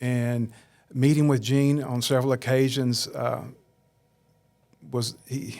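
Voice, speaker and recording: A man with a Southern US accent talks at a very slow pace. His intonation is monotone and flat, broken by long, frequent pauses. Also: medium pitch for a man. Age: 60s. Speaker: churchgoer interviewed on faith podcast. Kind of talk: interview testimony.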